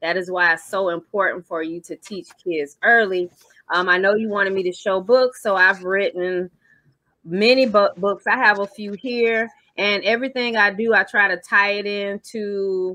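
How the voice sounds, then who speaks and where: Fairly even intonation and a moderate pace come through a dry sound with no echo over a quiet background. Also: woman. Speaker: remote guest, children's financial educator. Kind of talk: interview answer. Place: home room. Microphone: video call.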